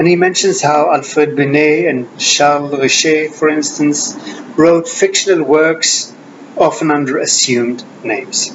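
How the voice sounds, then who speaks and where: Fairly high in pitch, a man talks at a fairly slow pace with ordinary pitch variation. Room echo is audible, and background noise is noticeable. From Sweden. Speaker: Jungian analyst and author. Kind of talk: lecture with reading aloud. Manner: formal.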